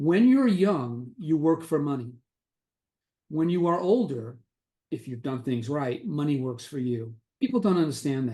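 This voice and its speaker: Using long, frequent pauses, a man with a New York accent speaks at a fairly slow pace and a fairly high pitch. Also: lively intonation. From New York City, the Bronx. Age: 60s. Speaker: retired investor and author. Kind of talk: interview.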